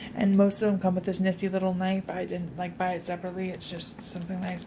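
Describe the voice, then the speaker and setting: A woman with an American accent whispers quietly at a very fast pace. Noticeable background noise runs underneath. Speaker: crafting YouTuber. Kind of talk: craft tutorial vlog. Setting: home, filmed at night. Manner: casual, filler-heavy.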